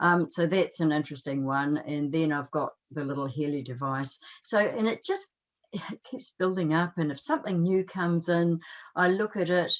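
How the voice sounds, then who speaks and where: Here a woman speaks in a New Zealand accent at a moderate pace. Her pitch is fairly low, with ordinary variation. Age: 70s. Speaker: life coach and energy healer. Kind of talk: interview.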